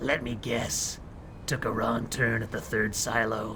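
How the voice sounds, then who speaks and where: A man puts on a character voice, raspy and gravelly at medium pitch. He talks at a fairly slow pace over loud background noise. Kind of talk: noir detective pastiche. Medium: game stream. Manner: hard-boiled, dry wisecracking.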